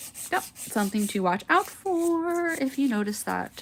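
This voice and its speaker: Soft-spoken and mumbling, a woman with a high pitch talks very slowly with very wide pitch swings, over noticeable background noise. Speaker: nail art content creator. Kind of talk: tutorial livestream. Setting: home livestream. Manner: mumbly.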